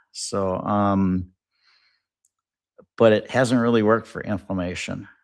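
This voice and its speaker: An ordinary speaking voice from a man, fairly low in pitch, at a moderate pace, with ordinary pitch variation. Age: 60s. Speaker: auto detailer. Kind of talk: casual chat.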